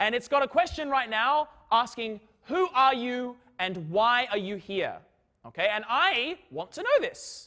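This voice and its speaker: A man talks in a raised, projected voice at a fairly slow pace, his pitch extremely high. The tone is bright, sharp and animated, with lively intonation. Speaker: physics lecturer. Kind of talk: lecture. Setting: lecture hall with students. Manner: loud.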